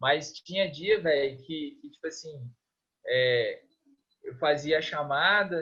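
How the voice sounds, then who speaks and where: Speaking very slowly, a man uses a fairly high pitch with ordinary pitch variation and big swings in loudness. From Minas Gerais, Brazil (Governador Valadares). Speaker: physical education lecturer and swimming coach. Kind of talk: interview. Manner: casual, hesitant with many repetitions.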